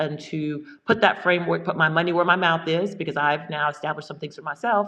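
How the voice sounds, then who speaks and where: At a fairly quick pace, a woman speaks with a fairly low pitch and fairly even intonation. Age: 60s. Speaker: farmer and business executive. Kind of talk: casual chat. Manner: halting.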